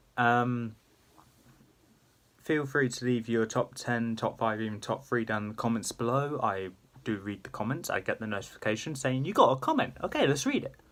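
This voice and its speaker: His pitch shows ordinary variation. The man talks at a moderate pace. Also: medium pitch for a man. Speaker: YouTuber. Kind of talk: casual vlog-style commentary. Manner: quieter than usual, subdued; hesitant with fillers.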